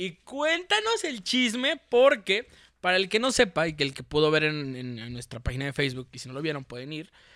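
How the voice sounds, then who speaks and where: On a very clean recording with a silent background, a man with a Mexican accent speaks at a fairly high pitch in a bright, sharp tone, with very wide pitch swings and big swings in loudness. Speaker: football podcast host. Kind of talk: casual chat.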